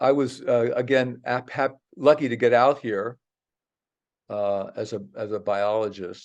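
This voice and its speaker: Against a quiet background, a man speaks at a fairly slow pace. He has an unremarkable speaking voice with ordinary pitch variation. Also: medium pitch for a man. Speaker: geography professor and biologist. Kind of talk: presentation talk.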